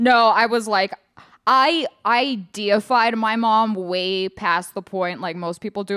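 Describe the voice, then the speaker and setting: Her medium-pitched voice bright and sharp, a woman speaks with a New York accent. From Los Angeles. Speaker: comedian. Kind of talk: casual chat.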